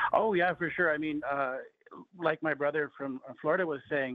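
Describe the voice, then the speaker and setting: A man with an American accent talks with fairly even intonation. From Plains tribe, US. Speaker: chef. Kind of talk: radio interview.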